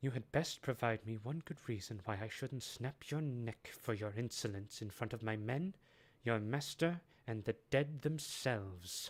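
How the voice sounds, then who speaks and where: At a moderate pace, a man uses a growling, put-on character voice pitched in the medium range. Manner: growling, menacing.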